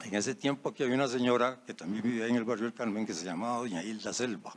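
Speaking fairly quickly, a man uses a normal speaking voice at a medium pitch. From Costa Rica, Alajuela. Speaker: engineer. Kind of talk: anecdote telling. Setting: audience floor microphone.

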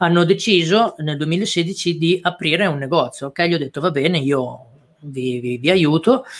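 This is an ordinary speaking voice from a man at a fairly high pitch. He keeps a moderate pace with ordinary pitch variation. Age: 30s. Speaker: e-commerce entrepreneur and course teacher. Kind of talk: live-stream interview. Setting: online live stream.

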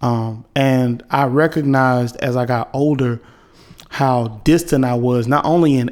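A man's medium-pitched voice, intonation held fairly even. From North Carolina (Wilson). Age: 20s. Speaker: podcast host. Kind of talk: casual monologue. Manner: halting, many fillers.

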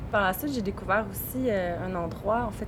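Noticeable background noise and audible room echo surround this recording. A woman with a medium pitch speaks at a moderate pace. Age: 30s. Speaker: wild plant workshop leader and lawyer. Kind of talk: interview conversation. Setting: outdoors. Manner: halting.

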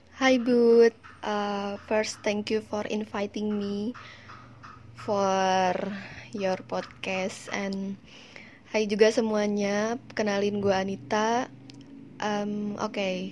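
A woman at medium pitch speaks at a very slow pace in a flat monotone, with long, frequent pauses. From Bandung, West Java, Indonesia. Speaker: event agency worker. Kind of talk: interview. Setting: WhatsApp call.

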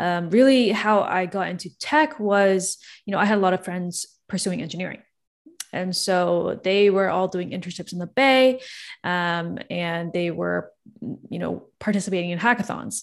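A woman with a normal speaking voice, medium pitch and a Canadian accent, at a moderate pace with ordinary pitch variation, in a quiet background. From Toronto, Canada. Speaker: startup founder and CEO. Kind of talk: casual interview.

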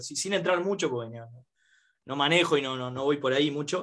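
A man with a fairly high pitch talks at a moderate pace in a normal speaking voice with ordinary pitch variation. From Uruguay. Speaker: podcast host. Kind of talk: casual chat.

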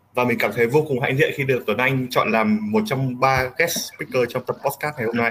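With noticeable background noise behind him, a man talks at a fairly quick pace and a medium pitch, showing ordinary pitch variation and hardly any pauses. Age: 20s. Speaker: podcast guest. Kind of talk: casual chat.

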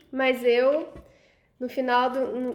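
Over noticeable background noise, a woman talks at a high pitch. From Rondônia, Brazil. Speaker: podcast host. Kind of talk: casual chat.

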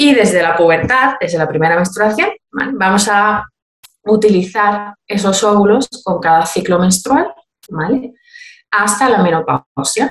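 In an Andalusian accent, a woman with a medium pitch talks at a fairly slow pace with lively intonation. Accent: Andalusian (Cádiz). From Cádiz, Andalusia, Spain. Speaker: midwife and fertility method instructor. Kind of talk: informative interview.

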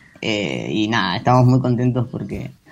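Fairly slow delivery with ordinary pitch variation in an ordinary speaking voice. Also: man. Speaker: actor and producer. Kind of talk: interview.

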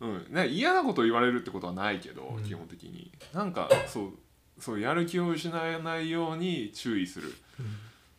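Amid audible room echo, a man with a fairly high voice talks at a fairly quick pace, his pitch swinging very widely and his loudness in big swings. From Tokyo, Japan. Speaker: podcast co-host. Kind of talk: casual chat.

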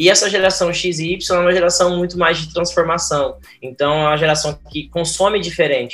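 This man talks at a moderate pace. His pitch sits high. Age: 30s. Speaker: cooperative professional. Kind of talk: interview.

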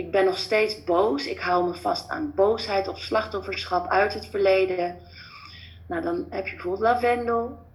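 With audible room echo, a woman speaks at a fairly slow pace and ordinary pitch variation. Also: medium pitch for a woman. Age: 30s. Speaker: former family doctor, natural healing coach. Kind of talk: interview.

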